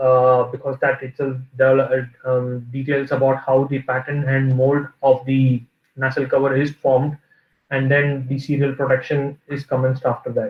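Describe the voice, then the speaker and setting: Somewhat breathy and monotone, a man speaks at a medium pitch with flat intonation. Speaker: reliability engineer. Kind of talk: lecture. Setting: video call. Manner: halting, many fillers.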